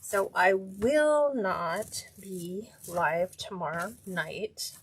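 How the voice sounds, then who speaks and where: A woman's somewhat breathy, very slow speech with lively intonation. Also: medium pitch for a woman. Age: 60s. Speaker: wreath maker, craft livestream host. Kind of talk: live craft tutorial. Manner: casual, chatty.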